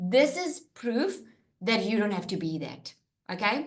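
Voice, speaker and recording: A woman speaks at a moderate pace in an animated tone with very wide pitch swings and audible room echo. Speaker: online business coach. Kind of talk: webinar presentation. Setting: live webinar with screen share.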